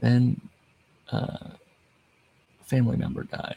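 A quiet man speaks at a very slow pace over noticeable background noise, in a dry, close sound with no echo. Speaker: wrestling podcast host. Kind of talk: casual solo monologue. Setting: home recording late at night. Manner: halting.

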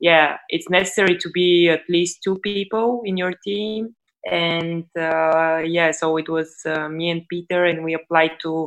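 This woman has a Bulgarian accent. Her pace is fairly slow. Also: fairly low pitch for a woman, hardly any pauses. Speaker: startup CEO. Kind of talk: interview.

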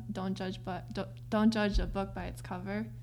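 Room echo is audible as a woman speaks with an American accent. Her pitch is very deep and low. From US, Korean-American home. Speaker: interview guest. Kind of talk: casual interview. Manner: hesitant, many fillers.

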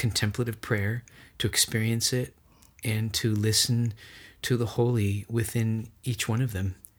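On a very clean recording with a silent background, a man speaks at a medium pitch and a fairly slow pace, somewhat breathy. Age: 40s. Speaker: church music minister and spiritual director. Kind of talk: casual interview conversation. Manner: animated.

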